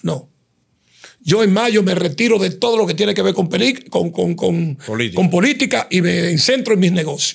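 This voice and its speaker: Against a quiet background, a man with a high pitch speaks at a moderate pace, his intonation lively and his loudness very even. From Dominican Republic. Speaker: digital creator and commentator; digital creator, commentator. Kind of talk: interview. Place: studio. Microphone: studio mic.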